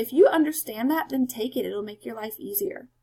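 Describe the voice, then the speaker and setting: A woman talks very fast at a fairly high pitch with lively intonation. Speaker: math teacher. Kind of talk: tutorial.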